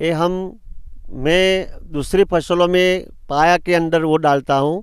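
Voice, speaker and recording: A man speaks with a high pitch and fairly even intonation. His loudness stays very even. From India, Gujarat, Banaskantha. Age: 60s. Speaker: farmer. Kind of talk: farm tour explanation. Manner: halting.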